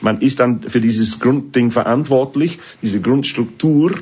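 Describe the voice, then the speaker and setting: Medium-pitched male voice in an English accent, somewhat breathy, lively in intonation, at a moderate pace. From northern England. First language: English (speaking German). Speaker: orchestra conductor. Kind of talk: interview. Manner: halting.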